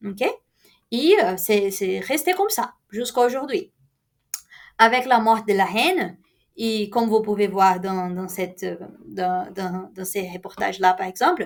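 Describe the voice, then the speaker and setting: Speaking with a Brazilian accent at a very slow pace, a woman uses a medium pitch with ordinary pitch variation, big swings in loudness, and long, frequent pauses. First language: Portuguese (speaking French). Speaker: university lecturer. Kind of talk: lecture. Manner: halting, many fillers.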